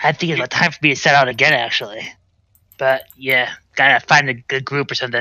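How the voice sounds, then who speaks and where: In a put-on character voice, a man growls at a very fast pace, raspy and medium in pitch. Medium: actual play. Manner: friendly, laid-back.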